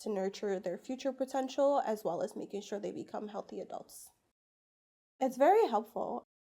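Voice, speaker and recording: A woman with vocal fry speaks at a moderate pace. Her tone is dark and mellow, her intonation lively. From Portugal. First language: Portuguese. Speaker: pediatrician. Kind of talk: interview. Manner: hesitant, many fillers.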